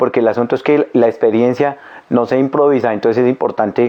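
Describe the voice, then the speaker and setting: A man at a very fast pace. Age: 60s. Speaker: unemployed older worker, interviewee. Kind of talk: testimony.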